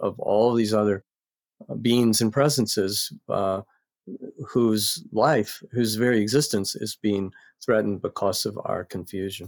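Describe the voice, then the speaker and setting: In an American accent, a man with an ordinary speaking voice talks at a moderate pace with fairly low pitch and fairly even intonation, recorded very cleanly against a silent background with a dry, close sound and no echo. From US South, North Carolina. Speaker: psychology professor and author. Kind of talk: podcast interview.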